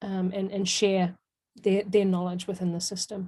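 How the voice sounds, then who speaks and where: A somewhat breathy woman's voice at medium pitch, dark and mellow in tone, with monotone, flat intonation and a New Zealand accent. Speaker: software trainer presenting a webinar. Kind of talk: webinar Q&A.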